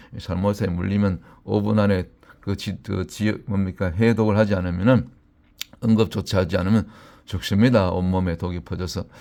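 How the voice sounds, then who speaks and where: A dark, mellow tone with a Gyeongsang accent, on a very clean recording against a silent background. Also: man. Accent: Gyeongsang dialect slips out. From Gyeongsang region, South Korea. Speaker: pastor. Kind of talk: sermon. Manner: halting, many filler sounds.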